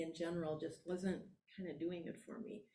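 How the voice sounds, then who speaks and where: The woman's voice sounds somewhat breathy. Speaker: Buddhist priest and teacher. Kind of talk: dharma talk conversation.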